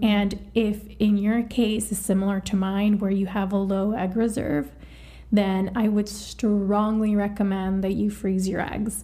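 This woman's voice sits at a medium pitch. She talks at a fairly slow pace with flat, monotone intonation. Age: 30s. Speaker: IVF patient sharing experience. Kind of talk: casual chat.

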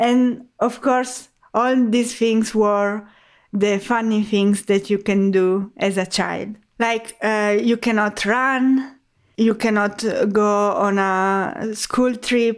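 A woman with an Italian accent speaks at a very slow pace with a fairly high pitch, monotone, flat intonation and very even loudness. The recording is very clean, with a silent background. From Italy. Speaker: HR expert and podcaster. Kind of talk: interview conversation.

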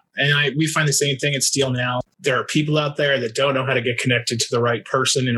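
A man speaks very fast at a medium pitch in a flat monotone, with noticeable background noise behind him. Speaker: podcast host. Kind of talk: interview, podcast chat.

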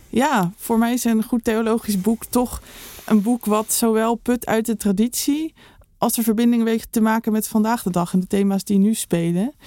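A woman's fairly high, dark and mellow voice at a moderate pace, with fairly even intonation, very even loudness and a dry, close sound with no echo. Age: young. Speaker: theologian, podcast co-host. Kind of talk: casual chat.

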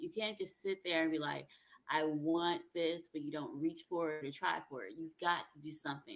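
An unremarkable speaking voice with an American accent, a fairly quick pace and ordinary pitch variation. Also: woman. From South Carolina, US South (from age 10). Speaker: songwriter and relationship coach. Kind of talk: interview conversation.

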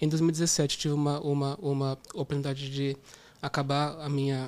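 A man with a fairly high pitch talks at a moderate pace in a monotone, flat delivery. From Brazil, interior of São Paulo state. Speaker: product manager. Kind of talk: casual interview. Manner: halting, with many repetitions.

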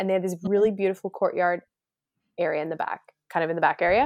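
An unremarkable speaking voice from a woman at medium pitch, fairly even in intonation, dry and close with no echo, on a very clean recording with a silent background. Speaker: wedding planner and podcast host. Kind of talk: casual chat.

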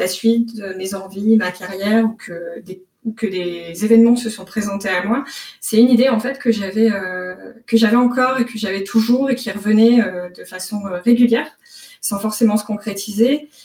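A woman talks at a moderate pace at a fairly high pitch, with ordinary pitch variation and big swings in loudness. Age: 30s. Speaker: software developer intern, career changer. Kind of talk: casual interview. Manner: hesitant, many fillers and repetitions.

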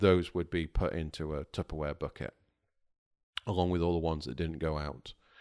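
In a very clean recording with a silent background, a man with a very deep, low pitch and vocal fry speaks at a fairly quick pace with fairly even intonation. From England, Lake District (Cumbria). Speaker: home cook, corporate security worker. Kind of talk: casual interview chat.

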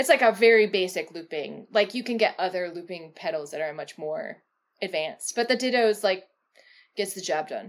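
In a normal speaking voice at medium pitch, a woman talks at a fairly quick pace with lively intonation and big swings in loudness. The recording is very clean, with a silent background. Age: 40s. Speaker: cellist and engineering director. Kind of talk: casual interview. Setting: home office.

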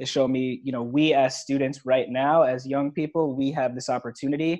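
An unremarkable speaking voice talks at a moderate pace with fairly even intonation. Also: man. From New York. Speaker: entrepreneur. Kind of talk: interview.

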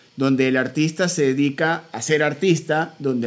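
The man has a normal speaking voice, pitched fairly high. He talks at a fairly slow pace with fairly even intonation. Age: 30s. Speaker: podcast host and musician. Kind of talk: interview conversation.

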